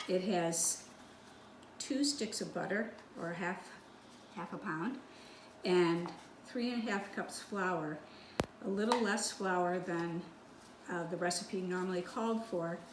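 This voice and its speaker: At a fairly slow pace with long, frequent pauses, a woman speaks in a medium pitch with ordinary pitch variation, amid noticeable background noise and audible room echo. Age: 70s. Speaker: home baker. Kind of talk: tutorial. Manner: casual, with hesitations.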